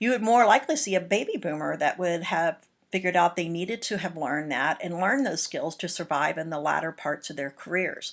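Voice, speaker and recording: At a fairly quick pace, a woman with an American accent uses an ordinary speaking voice, a medium pitch and lively intonation. The recording is very clean, with a silent background. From Texas, Houston. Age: 50s. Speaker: college lecturer. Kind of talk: lecture. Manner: casual conversational.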